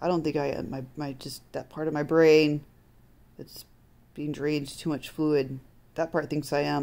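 A woman speaks with a very deep, low pitch and a dark, mellow tone. Her voice sounds strained, and her pace is fairly slow. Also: quiet background. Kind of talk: casual vlog chat. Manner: weak, strained, pained speech. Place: home room. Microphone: phone near.

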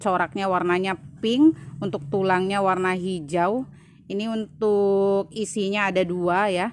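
A woman's medium-pitched voice at a fairly slow pace, with ordinary pitch variation and light background noise. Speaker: plant seller. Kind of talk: sales presentation. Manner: brisk, run-on listing of prices and leaf traits with little pause; friendly, chatty, peppered with 'ya teman-teman' fillers. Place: garden. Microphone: phone near.

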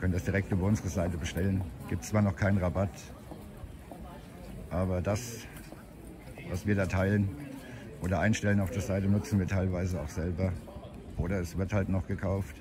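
Against noticeable background noise, a man with a very deep, low pitch speaks at a fairly quick pace with fairly even intonation, in a dry sound with no echo. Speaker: walking vlogger. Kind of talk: casual vlog chat. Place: street. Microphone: phone near.

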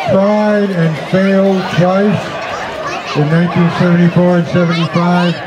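A man's voice with crowd noise behind it. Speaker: concert announcer. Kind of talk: public announcement introducing songs. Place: garden. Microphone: podium.

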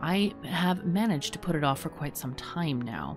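A woman's fairly low voice at a moderate pace, with clear music in the background. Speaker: gaming YouTuber. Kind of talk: casual vlog chat. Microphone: studio mic.

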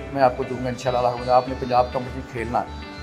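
Clear music plays in the background as a man speaks at a medium pitch. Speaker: bodybuilder. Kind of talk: interview answer. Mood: earnest, appealing for help. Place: gym. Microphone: handheld.

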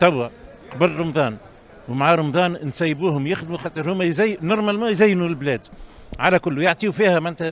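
This man's intonation is lively, and the sound is dry with no echo. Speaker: TV presenter. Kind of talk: commentary. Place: market. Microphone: handheld.

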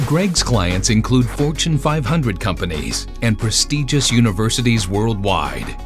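With lively intonation, a man talks as music plays in the background. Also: medium pitch for a man, fairly slow pace. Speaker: promo voice-over narrator. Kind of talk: corporate promo voice-over.

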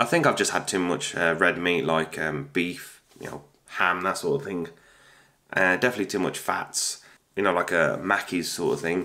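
With a British accent, a man speaks in a very deep, low pitch. His tone is bright and sharp, with ordinary pitch variation. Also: moderate pace. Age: 30s. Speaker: YouTuber. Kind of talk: casual vlog monologue.

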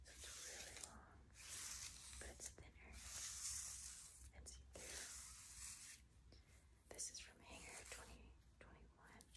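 A woman is speaking. Her pace is fairly slow. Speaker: ASMR content creator. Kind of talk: ASMR whisper ramble about clothes. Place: home room. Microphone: phone near.

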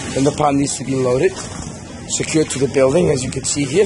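A man's voice comes with noticeable background noise. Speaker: contractor showing job site. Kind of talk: site walkthrough commentary. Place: street. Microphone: phone near.

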